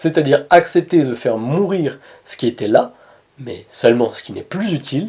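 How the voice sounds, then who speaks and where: A man speaks at a fairly slow pace in a dark, mellow tone. He has a slight Montpellier accent. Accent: Montpellier accent, slight, kept in check. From southern France, Montpellier. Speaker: spiritual coach / personal development youtuber. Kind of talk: inspirational talk to camera.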